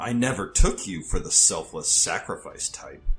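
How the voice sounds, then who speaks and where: At a moderate pace, a put-on character voice speaks over faint music in the background. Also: man. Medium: audio drama. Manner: cold, taunting.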